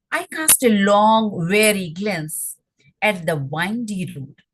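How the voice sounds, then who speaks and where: A woman talks with an Indian accent at a medium pitch. Vocal fry runs through her voice. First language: Hindi. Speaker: poet. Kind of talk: poetry reading. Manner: halting.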